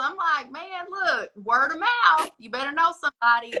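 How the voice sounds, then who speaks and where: At a moderate pace, a woman talks in a raised, projected voice. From US South, East Tennessee (Smoky Mountains). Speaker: astrologer. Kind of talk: casual chat. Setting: social media live stream.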